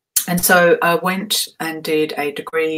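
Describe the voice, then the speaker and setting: The speaker goes at a fairly slow pace, with noticeable background noise behind the voice. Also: woman. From Australia, Perth. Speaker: vocal coach and voice medicine specialist. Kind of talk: live webinar talk. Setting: live stream from home.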